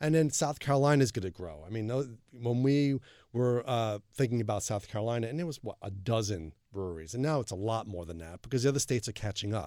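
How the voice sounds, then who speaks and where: Very fast and lively in intonation, a man with a Long Island accent speaks at medium pitch in a dark, mellow tone on a very clean recording with a silent background. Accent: New York, Long Island. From Long Island, New York. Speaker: beer website creator. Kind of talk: interview.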